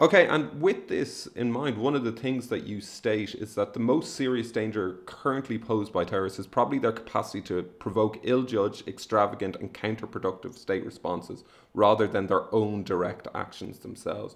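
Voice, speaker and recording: A man with medium pitch and ordinary pitch variation talks in an ordinary speaking voice, with hardly any pauses. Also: fairly quick pace. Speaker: podcast host. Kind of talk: interview.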